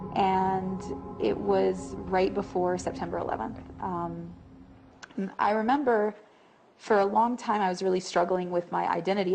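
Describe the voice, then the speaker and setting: With noticeable background noise behind her, a woman speaks with a fairly low pitch in an American accent. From US South (Tennessee, Texas). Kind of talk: testimony.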